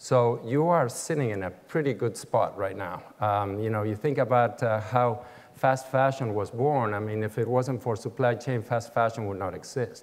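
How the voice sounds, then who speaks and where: Medium-pitched male speech with an Argentine accent, ordinary pitch variation and hardly any pauses. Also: moderate pace. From Argentina, Buenos Aires. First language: Spanish. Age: 60s. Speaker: business executive. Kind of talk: keynote speech. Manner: halting, many fillers.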